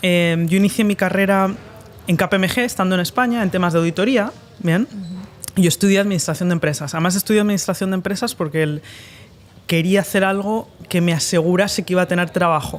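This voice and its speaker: A very fast, high-pitched man's voice with fairly even intonation. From Spain. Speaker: entrepreneur and investor. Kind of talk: podcast interview. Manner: hesitant, many fillers.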